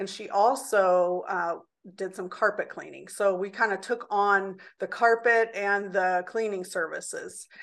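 Against a quiet background, a woman with a Midwestern US accent talks at a fairly slow pace with fairly even intonation. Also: medium pitch for a woman, big swings in loudness. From Indianapolis, Indiana. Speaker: small business owner. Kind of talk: interview.

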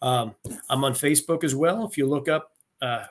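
A man with an American accent and a normal speaking voice, fairly high in pitch, ordinary pitch variation, moderate pace. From rural Pennsylvania. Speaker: retired army officer and leadership coach. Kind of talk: interview conversation.

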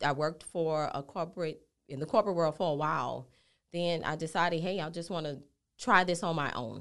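With a New Orleans accent, a woman talks at a moderate pace in a very deep, low pitch, her pitch varying in an ordinary way. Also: quiet background. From New Orleans, Louisiana. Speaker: healthcare business owner. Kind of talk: podcast interview.

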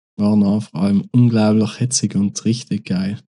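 Speaking with a South Tyrolean accent, a man uses a fairly low voice with a dark, mellow tone and fairly even intonation. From South Tyrol, Italy. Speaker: rapper. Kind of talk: casual interview.

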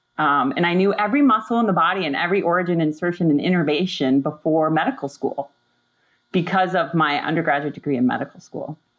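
A woman with an American accent talks at a very fast pace in a fairly low pitch and an energetic tone. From Upper Peninsula of Michigan. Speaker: pediatric spine surgeon. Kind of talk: casual chat.

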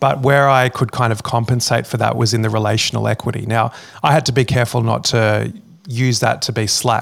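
With an Australian accent, a man of medium pitch talks fairly quickly in a flat monotone, his loudness very even throughout. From Sydney, Australia. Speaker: former pastor and teacher, podcaster. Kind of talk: interview.

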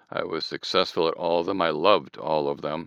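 Against a quiet background, a man with a very deep, low voice and a bright, sharp tone speaks in a dry, close sound with no echo. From Southern California. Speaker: therapy client. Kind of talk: therapy session.

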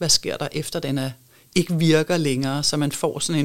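Her very deep, low voice moves at a fairly slow pace, and the woman keeps her intonation fairly even. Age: 50s. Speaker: architect and sustainability advisor. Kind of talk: interview conversation. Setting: studio.

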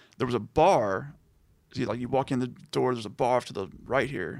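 Speaking with an American accent, a man uses a medium pitch, ordinary pitch variation and vocal fry. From Texas, Liberty area near Houston. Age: 30s. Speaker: podcast guest discussing music. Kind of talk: casual chat.

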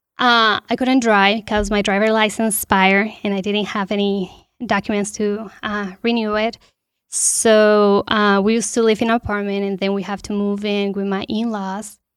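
A woman with a Spanish accent speaks at a medium pitch and moderate pace in monotone, flat intonation, in a very clean recording with a silent background. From Colombia, Bogotá. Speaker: panel guest, immigrant resident. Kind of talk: personal testimony. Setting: studio.

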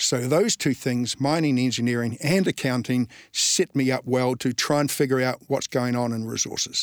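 A man at medium pitch with a New Zealand accent, fairly even intonation, a moderate pace and hardly any pauses, in a dry, close sound with no echo and a very clean recording with a silent background. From New Zealand, Invercargill (Southland). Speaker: natural resources fund manager. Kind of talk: interview.

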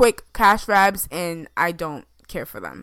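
A woman's bright, sharp voice at a fairly slow pace, with ordinary pitch variation, on a very clean recording against a silent background. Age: 20s. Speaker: gaming and entertainment podcast co-host. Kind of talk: casual chat.

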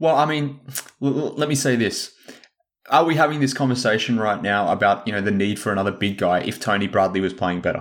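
Speaking fairly quickly with lively intonation, a man with an Australian accent has a medium-pitched voice. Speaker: sports podcast co-host. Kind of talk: casual chat.

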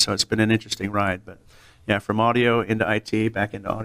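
A man with an American accent and a normal speaking voice, fairly low in pitch and fairly quick in pace, in a dry, close sound with no echo on a very clean recording with a silent background. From California. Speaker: audio industry sales engineer. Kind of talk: casual interview.

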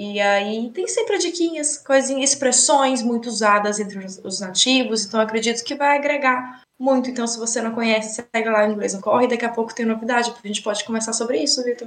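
The woman talks at a fairly quick pace with hardly any pauses. She has a Brazilian accent and a fairly high voice with ordinary pitch variation. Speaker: English teacher. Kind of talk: casual chat. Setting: studio.

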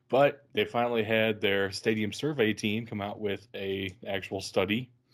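An ordinary speaking voice belongs to this man, who talks at a moderate pace with a fairly low pitch and fairly even intonation. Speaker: football podcast host. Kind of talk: casual banter, sports podcast.

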